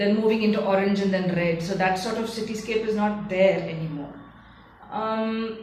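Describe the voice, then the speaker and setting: A woman's medium-pitched voice in a Tamil accent, at a moderate pace with fairly even intonation, amid noticeable background noise and audible room echo. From India, Bangalore. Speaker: curator. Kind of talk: interview monologue. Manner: hesitant, with fillers.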